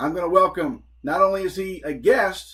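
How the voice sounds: In an American accent, the voice has a bright, sharp tone with a slightly husky edge, a moderate pace and ordinary pitch variation. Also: man, high pitch for a man.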